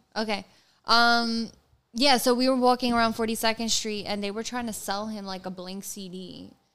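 Hers is an unremarkable speaking voice, as a woman with an American accent speaks in a fairly high pitch with fairly even intonation. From New York City. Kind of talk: casual chat.

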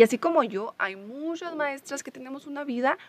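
A woman speaks at a moderate pace. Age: 20s. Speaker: preschool teacher and podcaster. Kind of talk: casual solo podcast monologue.

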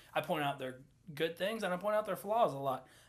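The recording is very clean with a silent background, carrying a man's bright, sharp tone and ordinary pitch variation. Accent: Southern US. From US South. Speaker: podcast co-host. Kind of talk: casual chat.

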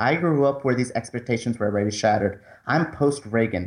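With a quiet background, a normal speaking voice moves at a fairly quick pace. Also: man. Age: 20s. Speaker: movie critic and co-host. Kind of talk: casual chat.

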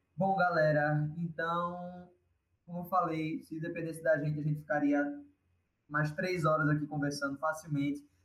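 In a monotone, flat intonation, a man with a fairly high pitch talks at a moderate pace. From Pernambuco, Brazil. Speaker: actor and podcast co-host. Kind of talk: interview.

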